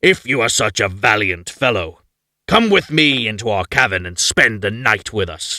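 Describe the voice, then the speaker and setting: A man puts on a growling character voice with a fairly low pitch. He speaks at a moderate pace on a very clean recording with a silent background. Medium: read story. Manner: blunt, gruff.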